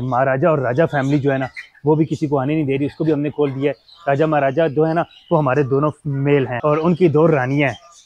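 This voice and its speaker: A man at a moderate pace, in a monotone, flat intonation. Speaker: pet vlogger. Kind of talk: casual vlog chat. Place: garden. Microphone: lapel.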